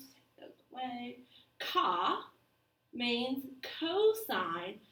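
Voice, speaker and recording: In a room with audible echo, a woman with an American accent speaks very slowly at a high pitch, her voice swinging very widely up and down. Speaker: math teacher. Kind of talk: lecture. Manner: casual.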